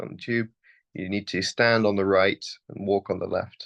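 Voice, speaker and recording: The speaker is a man with a British accent. The sound is dry and close, with no echo. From United Kingdom. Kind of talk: interview answer. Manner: casual, hesitant.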